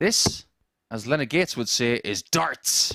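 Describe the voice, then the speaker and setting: A man with a strong northern English accent talks with very wide pitch swings. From northern England. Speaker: darts commentator.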